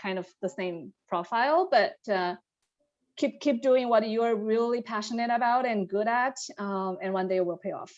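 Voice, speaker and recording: A woman's fairly high voice with ordinary pitch variation, at a moderate pace, over a quiet background. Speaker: management consultant, panelist. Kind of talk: panel discussion.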